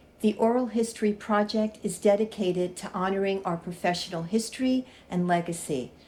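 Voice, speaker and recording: A woman's somewhat breathy, dark, mellow voice at a medium pitch, fairly quick in pace with hardly any pauses and ordinary pitch variation. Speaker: interviewer. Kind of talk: interview introduction.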